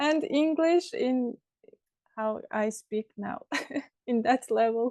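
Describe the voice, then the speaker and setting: A woman's high voice in an Azerbaijani accent, dark and mellow in tone, at a very slow pace, with a dry, close sound and no echo. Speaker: language student. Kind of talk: conversation class. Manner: halting.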